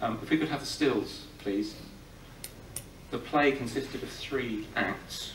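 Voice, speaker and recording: Speaking at a fairly slow pace with long, frequent pauses, a man is heard through audible room echo and light background noise. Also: ordinary pitch variation. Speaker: film historian. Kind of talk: live talk introducing a film screening. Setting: live audience in a cinema. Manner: humorous, irreverent, informed; hesitant, with many filler sounds. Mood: relaxed, gently humorous. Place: hall.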